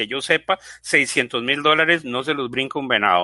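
A man's bright, sharp voice in a Costa Rican accent, against a quiet background. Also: dry, close sound with no echo. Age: 50s. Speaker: software engineer and business owner. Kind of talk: panel discussion. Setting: live online broadcast. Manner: animated.

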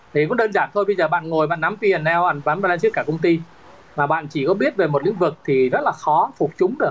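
Speaking at a very fast pace, a man uses a high voice with ordinary pitch variation and very even loudness. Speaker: real estate executive. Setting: online call.

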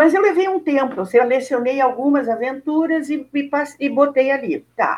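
A woman with a Rio Grande do Sul accent speaks at a high pitch, hardly pausing at all. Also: ordinary pitch variation, moderate pace. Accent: southern Brazilian Portuguese (gaúcho). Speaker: teacher, actress and writer. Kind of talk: interview.

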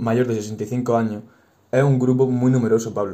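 At a moderate pace, a man speaks in a dark, mellow tone with fairly even intonation. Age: 20s. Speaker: university teacher. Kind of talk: podcast interview.

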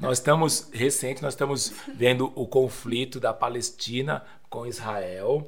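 This man's voice is somewhat breathy. He talks fairly slowly. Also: medium pitch for a man, ordinary pitch variation. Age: 40s. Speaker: pastor. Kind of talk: casual chat.

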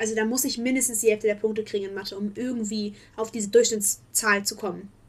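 Over noticeable background noise, a woman speaks very fast at a fairly high pitch in an animated tone. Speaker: podcast co-host, student. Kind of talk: casual chat.

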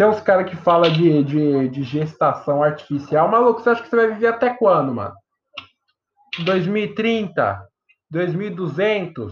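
This man has a high pitch for a man and lively intonation. He speaks at a fairly slow pace. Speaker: podcast host. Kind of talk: casual chat. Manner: animated.

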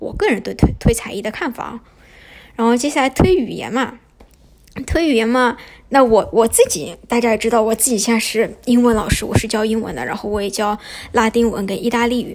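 Noticeable background noise sits behind a woman's voice. She talks at a fairly quick pace, fairly high in pitch with ordinary variation. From Shanghai, China. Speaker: podcast host. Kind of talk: casual monologue. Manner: hesitant, many fillers.

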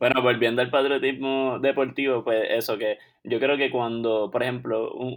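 Flat, monotone male voice at medium pitch, moving at a moderate pace. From Puerto Rico, Caguas. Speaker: podcast co-host, chiropractic student. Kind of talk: casual chat.

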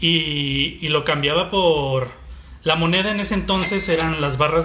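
Fairly slow and fairly high-pitched, a man talks with ordinary pitch variation. Room echo and noticeable background noise fill the recording. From Mexico, Guadalajara. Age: 30s. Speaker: illustrator and marketing communicator. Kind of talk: casual chat.

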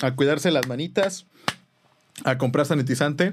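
A man with a Mexican accent. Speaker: podcast host and musician. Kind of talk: casual chat.

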